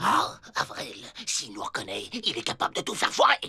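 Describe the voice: A man does a cartoonish character voice at a moderate pace.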